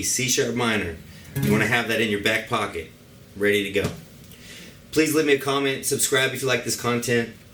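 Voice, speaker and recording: Over music in the background and audible room echo, a man talks at a fairly quick pace with a medium pitch. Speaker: guitar teacher. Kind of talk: tutorial. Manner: fast.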